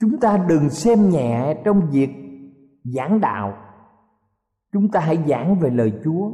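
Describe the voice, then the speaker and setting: A man's fairly high voice at a very slow pace, with very wide pitch swings, very even loudness and long, frequent pauses. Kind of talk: sermon. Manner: formal, earnest preaching, addressing listeners respectfully.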